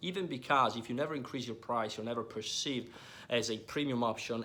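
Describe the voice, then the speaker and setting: The voice has a bright, sharp tone and an Italian accent. It moves at a fairly quick pace with fairly even intonation. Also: man. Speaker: online business coach. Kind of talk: business advice talk to camera. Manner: hesitant, many fillers and repetitions.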